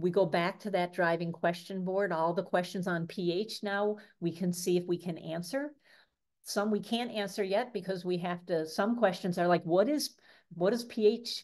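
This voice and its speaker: In an ordinary speaking voice, a woman with an American accent speaks at a moderate pace and medium pitch with ordinary pitch variation over a quiet background. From Michigan, US. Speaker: science education trainer. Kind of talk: online workshop presentation.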